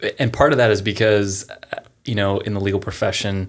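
A man with an American accent, fairly low pitch, monotone, flat intonation and a moderate pace. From Pennsylvania. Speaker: former attorney, business founder. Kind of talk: interview conversation.

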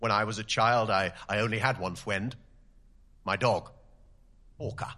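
A man's put-on character voice, raspy and pompous in tone, medium in pitch, with fairly even intonation at a moderate pace. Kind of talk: comic horror radio play. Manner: pompous, rude, self-pitying.

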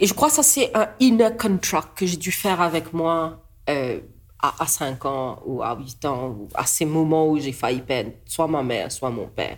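A woman with a Mauritian accent, very deep, low pitch and very wide pitch swings at a fairly slow pace, on a very clean recording with a silent background. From Mauritius. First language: Mauritian Creole (speaking French). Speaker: artist and politician. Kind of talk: casual chat. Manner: halting.

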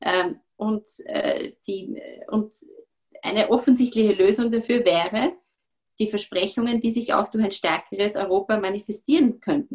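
A somewhat breathy woman's voice shows ordinary pitch variation. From Austria, Vorarlberg. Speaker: politician. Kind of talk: interview.

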